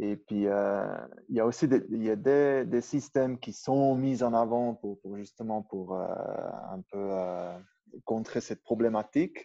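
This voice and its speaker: Against a quiet background, a man with a dark, mellow tone and ordinary pitch variation speaks at a very slow pace. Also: medium pitch for a man. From Switzerland, Upper Valais (Brig). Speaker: strength coach, former pro alpine skier. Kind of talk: interview. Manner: halting, many repetitions.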